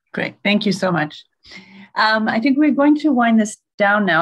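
A woman talks at a very fast pace in a somewhat breathy voice with ordinary pitch variation. The background is quiet. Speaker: nonprofit chief executive moderating a webinar; webinar moderator. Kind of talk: webinar moderation. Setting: video call. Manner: frequent fillers, hesitant. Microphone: video call.

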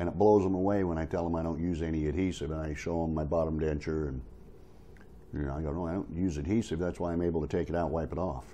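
The speaker goes at a very fast pace with fairly even intonation over light background noise. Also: man, very deep, low pitch for a man. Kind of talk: casual tutorial vlog. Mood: encouraging, friendly. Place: home room. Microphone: phone near.

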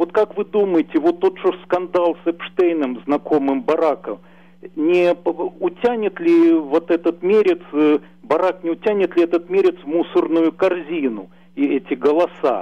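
A man talks at a fairly slow pace in a high pitch with ordinary pitch variation. His loudness stays very even throughout. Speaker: caller. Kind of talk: interview question. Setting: phone call. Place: home room. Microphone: video call.

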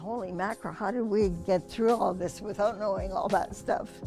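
A woman at a fairly quick pace with ordinary pitch variation, clear music in the background. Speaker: grandmother sharing memories. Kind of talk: interview answer. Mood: warm, amused, animated.

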